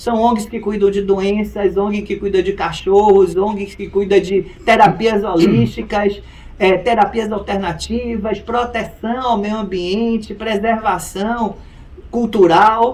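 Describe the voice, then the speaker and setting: A man's high-pitched, monotone, flat delivery at a very slow pace over noticeable background noise. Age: 60s. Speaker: lawyer. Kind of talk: interview.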